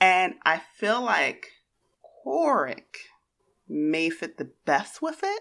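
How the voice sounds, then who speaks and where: Long, frequent pauses break up a woman's very slow speech. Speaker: tabletop roleplaying player. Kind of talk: actual play game session.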